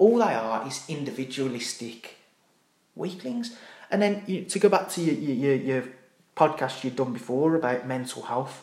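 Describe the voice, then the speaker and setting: Audible room echo surrounds a man who speaks at a moderate pace, his fairly high voice carrying lively intonation. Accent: Brummie. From Birmingham, England. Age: 30s. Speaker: army veteran. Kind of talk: casual chat. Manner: animated.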